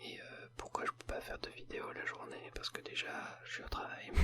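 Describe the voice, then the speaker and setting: A man is whispering. His pace is fairly slow. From Paris, France. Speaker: ASMR video creator. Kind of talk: casual talk to camera. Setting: home recording with a sensitive microphone.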